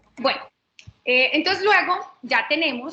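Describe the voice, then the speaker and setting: A woman's raised, projected voice, bright and sharp in tone, at a fairly slow pace with ordinary pitch variation. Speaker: lawyer. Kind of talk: webinar lecture. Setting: online webinar.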